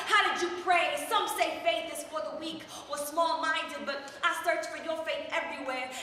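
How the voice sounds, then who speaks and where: In a room with audible echo, a woman projects a raised voice at an extremely high pitch, keeping fairly even intonation at a moderate pace. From Chicago, Puerto Rican family. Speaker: slam poet. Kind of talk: spoken word performance. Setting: open mic at coffeehouse. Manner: rhythmic.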